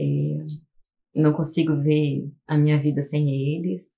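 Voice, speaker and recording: A woman's very deep, low voice with a dark, mellow tone, at a fairly slow pace. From Curitiba, southern Brazil. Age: 40s. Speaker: teacher and artist. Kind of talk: documentary interview.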